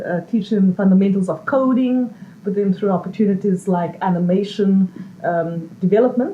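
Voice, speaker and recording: A woman speaks at medium pitch and a moderate pace with ordinary pitch variation, against noticeable background noise. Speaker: social entrepreneur. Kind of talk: interview. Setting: live event with audience.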